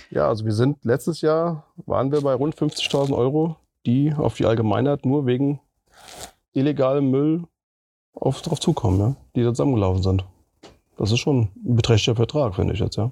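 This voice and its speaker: A man speaks at a moderate pace with long, frequent pauses, his pitch medium and his variation ordinary. The tone is dark and mellow, the loudness very even, and the sound dry and close with no echo. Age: 40s. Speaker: municipal green spaces manager. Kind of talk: interview.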